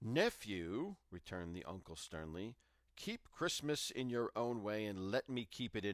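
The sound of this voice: Simply an unforced reading voice.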